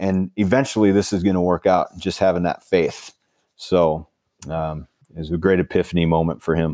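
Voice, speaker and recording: Recorded dry and close with no echo and a silent background, a man speaks in a very deep voice with a dark, mellow tone. He has an Upper Midwest accent and a moderate pace. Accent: Upper Midwest (Minnesota). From Minnesota, small river town in the southeast. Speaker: high school football coach and author. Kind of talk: interview.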